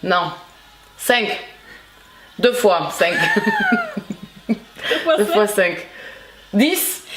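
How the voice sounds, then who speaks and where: The delivery is very slow, broken by long and frequent pauses, with lively intonation. Background noise is noticeable throughout. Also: woman, fairly high pitch for a woman. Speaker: booktuber.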